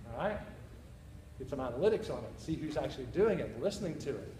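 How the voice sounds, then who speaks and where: A man talks very fast in a fairly high voice, with audible room echo and noticeable background noise. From Northern Ireland, Belfast. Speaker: university teacher presenting. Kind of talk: conference presentation. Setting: conference session with audience.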